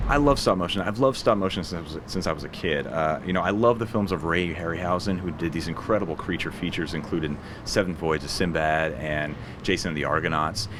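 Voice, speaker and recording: A man with an American accent speaks at a very fast pace in a very deep, low pitch. His pitch varies in an ordinary way over noticeable background noise. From Portland, Oregon. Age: 40s. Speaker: animation studio CEO and film director. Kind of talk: interview answer.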